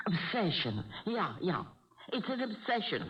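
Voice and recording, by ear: A woman does a put-on character voice with a husky, rough edge at a fairly low pitch. She speaks at a fairly slow pace with big pitch swings.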